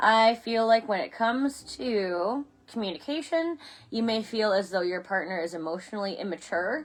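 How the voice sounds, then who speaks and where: On a very clean recording with a silent background, a woman with a fairly high pitch talks at a moderate pace with lively intonation. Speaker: tarot reader. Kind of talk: live-streamed tarot reading. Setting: Facebook live stream. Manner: halting, self-correcting.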